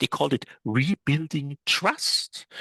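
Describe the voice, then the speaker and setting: A man with a fairly high pitch, a bright, sharp tone and vocal fry is heard in a dry, close recording with no echo and a quiet background. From Germany. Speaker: travel agent and author. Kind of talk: interview conversation. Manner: halting, many fillers and repetitions.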